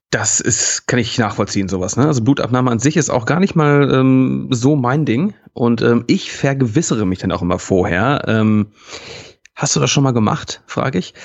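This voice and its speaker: With an ordinary speaking voice, a man talks at a moderate pace in a medium pitch with lively intonation. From Hamburg. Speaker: podcast co-host. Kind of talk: casual banter. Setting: evening recording.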